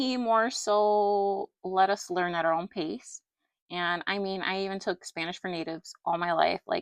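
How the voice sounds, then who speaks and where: Shaky and fairly slow, a woman talks at a medium pitch in a dry, close recording with no echo and a quiet background. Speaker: doll collector YouTuber. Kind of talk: personal rant to camera.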